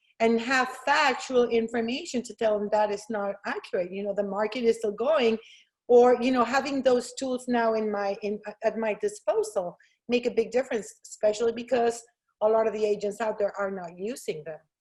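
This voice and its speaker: Fairly high female speech with ordinary pitch variation. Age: 50s. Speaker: real estate agent. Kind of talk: interview. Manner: loud; fast.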